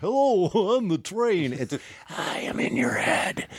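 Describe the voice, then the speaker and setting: In a put-on character voice at a middle pitch, the speaker moves fairly slowly with very wide pitch swings, over light background noise. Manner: creepy, demonic.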